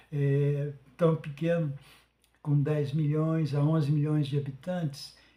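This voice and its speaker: A man speaks very slowly in a fairly high pitch, his voice somewhat breathy with a dark, mellow tone. The delivery is flat and monotone, with very even loudness. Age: 70s. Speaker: podcast host. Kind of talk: monologue. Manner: halting, many fillers.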